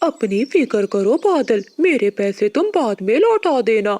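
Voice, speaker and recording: This is a cartoonish character voice with fairly high pitch. It moves at a fairly slow pace. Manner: warm, generous.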